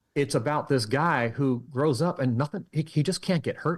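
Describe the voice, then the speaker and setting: On a very clean recording with a silent background, a man speaks at a moderate pace. His voice is fairly high and somewhat breathy, with ordinary pitch variation. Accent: American. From California. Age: 50s. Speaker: mentalist and magician. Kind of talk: interview conversation. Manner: halting.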